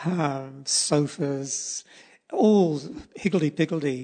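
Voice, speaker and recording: A man with a New Zealand accent talks in a fairly high pitch with ordinary pitch variation. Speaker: poet and artist. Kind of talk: casual interview.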